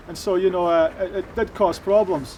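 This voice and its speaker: With a Shetland accent, a man speaks in a high pitch with ordinary pitch variation. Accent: Shetland Scottish. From Shetland, Lerwick. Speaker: former addict giving testimony. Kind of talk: testimony. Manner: halting, many fillers.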